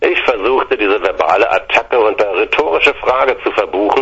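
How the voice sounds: Natural-sounding reading voice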